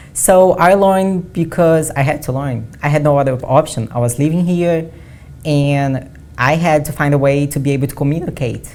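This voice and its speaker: In a Portuguese accent, a woman with a very deep, low pitch and a dark, mellow tone talks at a moderate pace. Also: ordinary pitch variation. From Brazil. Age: 20s. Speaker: bodybuilding athlete. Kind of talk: interview. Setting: studio.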